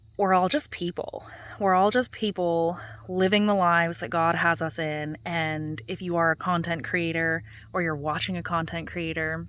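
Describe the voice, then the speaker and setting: On a very clean recording with a silent background, a woman with a fairly low pitch speaks at a moderate pace with ordinary pitch variation. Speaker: gardening vlogger. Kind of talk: casual vlog chat. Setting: outdoors in garden at dusk. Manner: soft-spoken.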